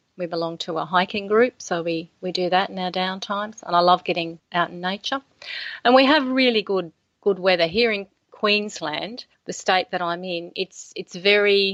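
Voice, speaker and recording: Speaking at a moderate pace, a woman with an Australian accent shows ordinary pitch variation. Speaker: author. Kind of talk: interview.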